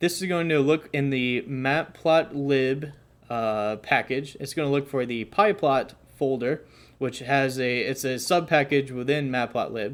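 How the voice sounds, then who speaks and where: Recorded very cleanly against a silent background, an unremarkable speaking voice moves at a fairly slow pace with ordinary pitch variation. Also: man, fairly high pitch for a man. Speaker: coding tutorial youtuber. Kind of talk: tutorial. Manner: casual with fillers.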